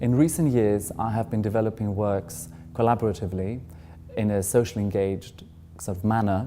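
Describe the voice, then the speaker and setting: Speaking at a fairly quick pace, a man uses a dark, mellow tone at a fairly low pitch with ordinary pitch variation. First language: not English. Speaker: artist. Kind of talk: interview. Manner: hesitant, many fillers.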